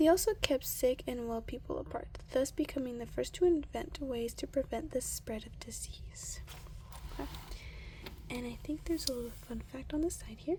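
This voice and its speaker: The soft-spoken voice stays calm and moves at a moderate pace. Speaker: ASMR creator. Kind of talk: ASMR reading of a science book. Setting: close-mic with page flipping. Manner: soft-spoken, calm.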